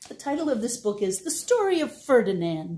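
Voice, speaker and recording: The woman's pitch is fairly high, with very wide pitch swings. Her tone is dark and mellow, and also gentle and warm. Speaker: library storytime reader. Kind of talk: bedtime story reading, picture-book read-aloud to children. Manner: gentle, warm and animated, with playful sound effects; slow, clear, child-friendly pacing. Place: home room. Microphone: phone near.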